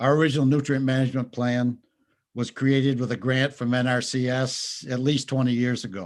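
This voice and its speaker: A man speaks fairly quickly with a Vermont accent at a medium pitch. His intonation stays fairly even over a quiet background. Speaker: dairy farmer. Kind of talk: legislative testimony. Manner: formal.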